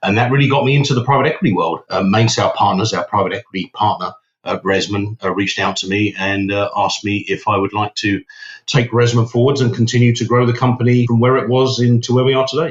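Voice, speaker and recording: A man with a British accent speaks at a very fast pace and medium pitch. His voice is somewhat breathy, with ordinary pitch variation. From UK. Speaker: company CEO. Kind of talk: interview. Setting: podcast.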